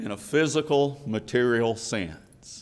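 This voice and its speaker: In a Southern US accent, a man speaks at a very slow pace. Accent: Southern American. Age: 50s. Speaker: preacher. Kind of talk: sermon. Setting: church.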